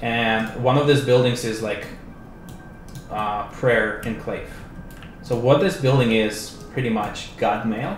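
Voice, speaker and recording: With audible room echo and noticeable background noise, a man talks at a very slow pace, using ordinary pitch variation and long, frequent pauses. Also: medium pitch for a man. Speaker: game developer. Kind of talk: livestream game demo. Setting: live stream. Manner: casual.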